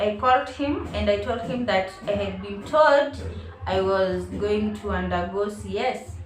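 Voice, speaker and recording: Against noticeable background noise and audible room echo, a woman speaks at a fairly slow pace. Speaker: vlogger. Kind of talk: personal storytelling. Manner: animated.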